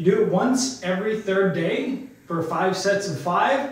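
In strong room echo, a man speaks at a high pitch with ordinary pitch variation. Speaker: fitness coach. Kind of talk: tutorial. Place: studio. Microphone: camera far.

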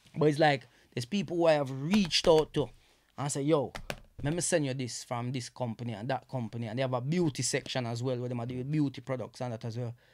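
A man talks at a very fast pace with a Jamaican accent. His pitch variation is ordinary. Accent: Jamaican English with Patois features. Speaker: comedian and social media influencer; comedian, social media influencer. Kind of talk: casual chat. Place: studio. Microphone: studio mic.

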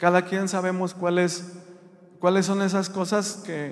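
A man with a high-pitched voice. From Mexico, rural Jalisco area. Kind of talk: religious testimony. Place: church. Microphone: handheld.

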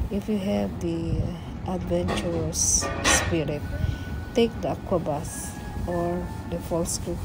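A woman at a very slow pace, with music in the background. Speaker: travel narrator. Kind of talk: travel guide narration.

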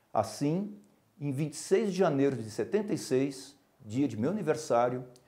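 Against a quiet background, a man with a fairly high pitch and a dark, mellow tone speaks with very wide pitch swings. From interior of São Paulo state, Brazil. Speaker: neurologist and professor; medical professor. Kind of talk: prepared autobiographical speech. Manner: formal. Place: studio. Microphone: lapel.

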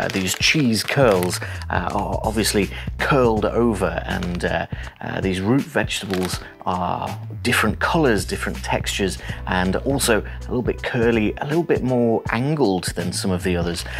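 A man's fairly low voice at a moderate pace, with clear music in the background. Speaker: photography tutor. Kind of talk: tutorial. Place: home room. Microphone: lapel.

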